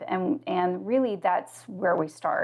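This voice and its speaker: Speaking with an American accent at a moderate pace, a woman has an unremarkable speaking voice with lively intonation. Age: 50s. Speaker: financial consultant and coach. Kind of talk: interview conversation.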